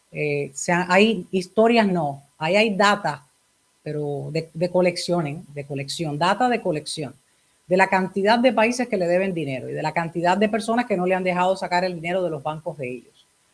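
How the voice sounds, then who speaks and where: A woman with an unremarkable speaking voice talks at a moderate pace in a medium pitch, her intonation lively. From Cuba. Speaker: talk show host. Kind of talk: interview.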